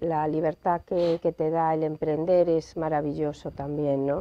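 Here is a woman with a normal speaking voice. She talks at a fairly slow pace and a fairly low pitch. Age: 40s. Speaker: lawyer. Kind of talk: interview. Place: studio. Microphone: lapel.

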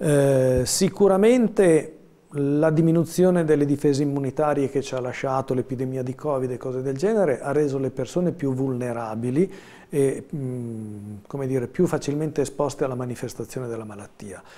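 A man's fairly high voice with a dark, mellow tone, ordinary pitch variation and a moderate pace. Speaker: family doctor. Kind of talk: live TV interview. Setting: studio. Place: studio. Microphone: lapel.

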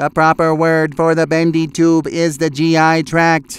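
A man's cartoonish character voice, fairly high and monotone, at a fairly slow pace on a very clean recording with a silent background. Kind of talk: cartoon voice acting. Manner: curt, matter-of-fact.

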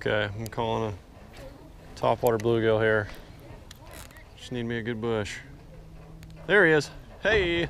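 With a Southern US accent, a man speaks at a fairly slow pace, taking long, frequent pauses, with ordinary pitch variation and big swings in loudness. The sound is dry with no echo, and there is light background noise. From US South. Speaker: fishing vlogger; angler vlogger. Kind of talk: casual outdoor vlog commentary. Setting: on a boat outdoors. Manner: animated. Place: boat. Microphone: phone near.

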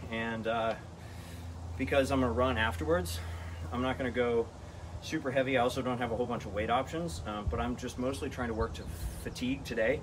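A somewhat breathy man at a very fast pace, with ordinary pitch variation and noticeable background noise. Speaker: fitness vlogger. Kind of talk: casual vlog chat explaining a workout. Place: garage. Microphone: camera far.

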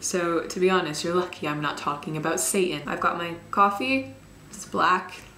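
Against light background noise and audible room echo, a woman speaks at a moderate pace in a fairly low voice with ordinary pitch variation and big swings in loudness. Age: young. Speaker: YouTuber. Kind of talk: casual talk to camera. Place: home room. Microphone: camera far.

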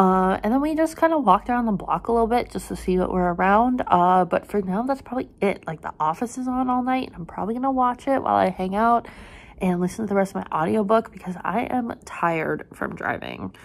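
A woman talks at a very fast pace with hardly any pauses. Her intonation is lively. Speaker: travel vlogger. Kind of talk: casual vlog chat. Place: home room. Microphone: phone near.

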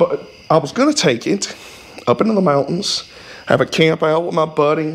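At a moderate pace, a man with a Southern US accent talks in a fairly high pitch. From US South. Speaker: YouTuber working on old vehicles. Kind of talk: casual garage vlog. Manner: rambling, colloquial. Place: garage. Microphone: camera far.

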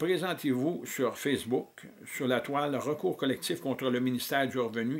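A man's fairly even intonation. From Quebec. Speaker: political activist. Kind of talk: reading aloud. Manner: halting. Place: home room. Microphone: webcam.

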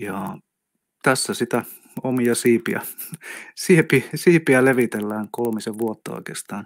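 A man speaks at a very slow pace, leaving long, frequent pauses, with big swings in loudness. The sound is dry and close with no echo, on a very clean recording over a silent background. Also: medium pitch for a man, ordinary pitch variation. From South Karelia, Finland (Lappeenranta). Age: 50s. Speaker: energy healer. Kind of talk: casual chat. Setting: studio.

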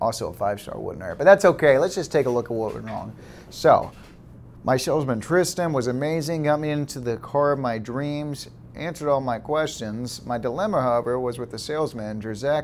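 A man talks fairly quickly, his pitch varying in an ordinary way, with light noise behind him. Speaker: sales manager character. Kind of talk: mockumentary talking-head interview and scripted comedy dialogue. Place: office.

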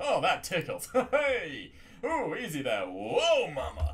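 Over light background noise, a man performs in a put-on character voice. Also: fairly slow pace. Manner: cheeky, playful.

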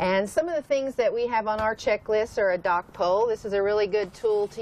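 A woman at a fairly quick pace, dry sound with no echo, light background noise. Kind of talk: interview answer. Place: boat. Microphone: lapel.

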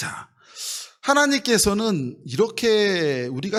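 His pitch swings very widely as the man speaks. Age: 50s. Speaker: pastor. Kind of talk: sermon.

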